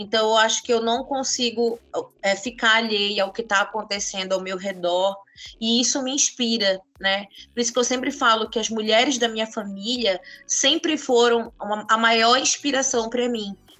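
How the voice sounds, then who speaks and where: Fairly high-pitched with fairly even intonation, this woman has a plain, everyday voice. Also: moderate pace. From northern Brazil, Santarém, Pará. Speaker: author. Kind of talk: interview.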